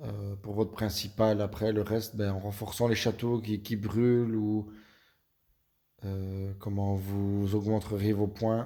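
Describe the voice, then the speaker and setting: A man with a slight Belgian accent talks very slowly in a fairly low pitch, his dark, mellow tone held in a monotone, flat intonation. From Belgium. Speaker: video game youtuber. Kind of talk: gaming tutorial. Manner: hesitant, many fillers.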